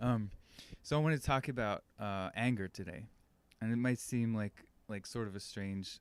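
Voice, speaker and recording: This man is soft-spoken and keeps a moderate pace. His pitch varies in an ordinary way. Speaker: podcast host. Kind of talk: casual monologue. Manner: halting.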